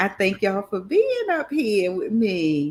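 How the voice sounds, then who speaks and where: Speaking with a Southern US accent, a woman talks at a fairly slow pace with very wide pitch swings. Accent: southern twang, dragging her R's and L's. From Maryland, US. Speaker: livestream host. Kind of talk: casual chat. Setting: livestream panel with headset mic.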